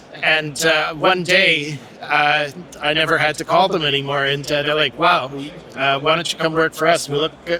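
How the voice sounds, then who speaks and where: A man's fairly high voice, flat and monotone, at a moderate pace over noticeable background noise. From Quebec, Montreal. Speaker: hospitality technology manager. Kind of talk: casual interview. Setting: live at trade show. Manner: halting, many fillers.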